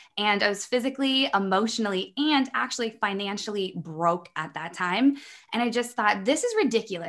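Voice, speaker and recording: The speaker has a Midwestern American accent and lively intonation. The pace is moderate against a quiet background. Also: woman. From US Midwest. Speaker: online business coach. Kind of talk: interview conversation.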